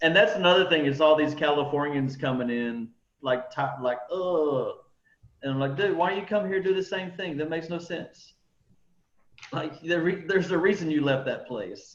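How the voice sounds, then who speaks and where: A man with a Texan accent speaks at a moderate pace. His pitch is fairly high, with ordinary pitch variation. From Texas. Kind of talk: casual chat. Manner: casual, filler-heavy.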